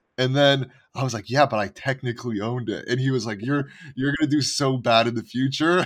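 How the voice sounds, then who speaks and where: A man speaks at a fairly quick pace in a normal speaking voice, with medium pitch and fairly even intonation. The recording is very clean, with a silent background. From Montreal, Canada. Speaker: NFT podcast co-host. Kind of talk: casual chat.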